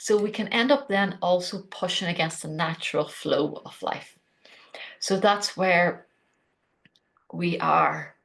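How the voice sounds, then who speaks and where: With an Irish accent, a woman speaks at a very slow pace, pausing long and often, with ordinary pitch variation. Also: medium pitch for a woman. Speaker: podcast host. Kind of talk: solo podcast talk on spirituality.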